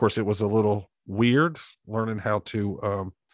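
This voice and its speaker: This man has an Alabama accent and a fairly low pitch. The sound is dry and close with no echo, over a quiet background. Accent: Southern US (Alabama). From US South, Alabama (Montevallo, south of Birmingham). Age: 40s. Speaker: pastor. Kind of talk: casual interview.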